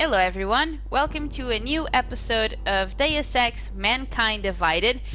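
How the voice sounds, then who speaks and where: At a moderate pace, a woman speaks with hardly any pauses. Audible room echo and noticeable background noise are present. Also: very even loudness. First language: not English. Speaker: gameplay video creator. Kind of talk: gameplay commentary.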